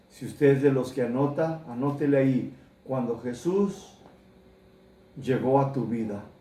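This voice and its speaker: At a very slow pace, a man's fairly high voice carries a dark, mellow tone and ordinary pitch variation amid audible room echo. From United States. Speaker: pastor. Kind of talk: sermon.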